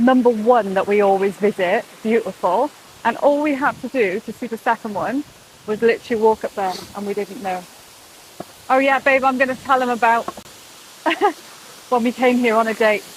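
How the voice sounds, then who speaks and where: A woman with a British accent speaks at a moderate pace and fairly high pitch, with ordinary pitch variation. She leaves long, frequent pauses against noticeable background noise. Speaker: vlogger. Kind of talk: casual vlog chat. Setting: outdoors. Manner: animated.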